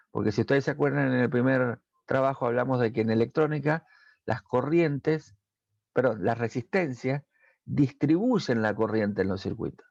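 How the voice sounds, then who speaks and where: With an Argentine accent, a man talks at a moderate pace and medium pitch, his ordinary pitch variation caught in a dry, close sound with no echo over a quiet background. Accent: Argentine Spanish (Rioplatense). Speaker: technical school teacher. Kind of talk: recorded lesson for students. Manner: hesitant with fillers.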